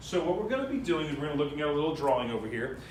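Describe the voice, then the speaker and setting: Audible room echo surrounds the voice. A man is speaking at a fairly high pitch. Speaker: math teacher. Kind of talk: classroom lecture. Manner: fast.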